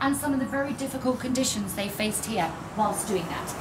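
Over noticeable background noise, a woman speaks very fast in a raised, projected voice. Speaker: mine museum tour guide. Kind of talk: tour guide presentation. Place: station. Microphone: camera far.

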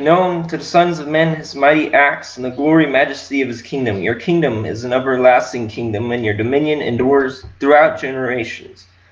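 With a plain, everyday voice, a man speaks at a moderate pace and ordinary pitch variation. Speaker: congregation member reading scripture. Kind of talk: scripture reading aloud. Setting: online church service. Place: home room. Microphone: webcam.

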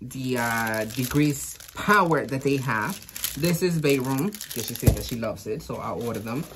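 Moderate-paced male speech over noticeable background noise. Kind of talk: product review chat. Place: shop. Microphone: phone near.

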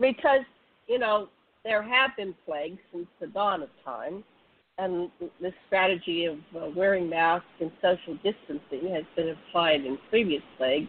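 Lively intonation marks a woman's fairly low-pitched delivery at a fairly slow pace. She has an ordinary speaking voice. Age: 60s. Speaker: online radio show host. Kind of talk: casual interview chat. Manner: casual, laughs often.

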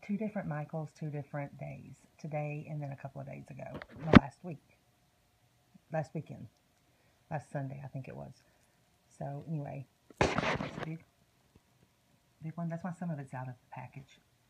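With an American accent, the speaker uses fairly even intonation and long, frequent pauses. Loud background noise fills the recording. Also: woman. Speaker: haul vlogger. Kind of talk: casual haul video. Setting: at home, baby sleeping. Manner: fast. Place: home room. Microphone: phone near.

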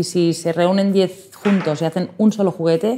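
A woman is speaking. Light background noise sits underneath. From Spain. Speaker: toy shop owner; interviewee. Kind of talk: interview. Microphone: lapel.

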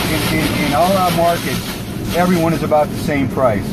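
Over background music, a man talks at a moderate pace in a dry sound with no echo. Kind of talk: explanatory commentary. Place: car.

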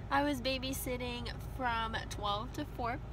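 A woman is heard in a dry sound with no echo. Noticeable background noise is present. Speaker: vlogger. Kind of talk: casual vlog chat. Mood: cheerful, relaxed. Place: car. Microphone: phone near.

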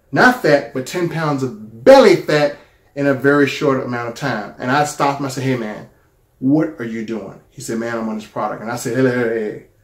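Against a quiet background with audible room echo, a man talks at a fairly quick pace and medium pitch, his pitch varying in an ordinary way while his loudness swings widely. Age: 40s. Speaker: YouTuber sharing a product testimonial. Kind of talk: personal testimony. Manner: casual, conversational. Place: home room. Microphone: phone near.

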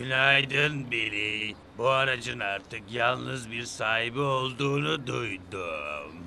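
A man puts on a cartoonish character voice at a medium pitch. He goes at a fairly slow pace with clear background noise. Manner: menacing, mocking.

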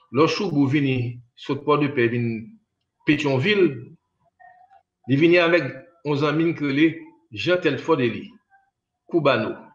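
With long, frequent pauses, a man talks at a fairly slow pace in a fairly high pitch with ordinary pitch variation, and audible room echo. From Haiti. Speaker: musician; interview guest. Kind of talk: interview. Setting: remote interview over internet. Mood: reminiscing calmly. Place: home room. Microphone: choppy internet connection; video call.

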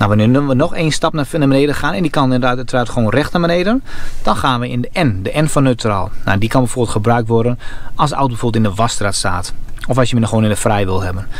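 Talking at a very fast pace, a man shows ordinary pitch variation in a dry sound with no echo. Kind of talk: tutorial. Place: car. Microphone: phone near.

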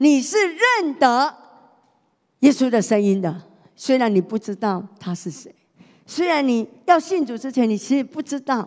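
A woman talks at a fairly slow pace with a high pitch and an animated tone. The background is quiet. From Taiwan. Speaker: pastor's wife preaching. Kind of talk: sermon. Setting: church. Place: church. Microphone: handheld.

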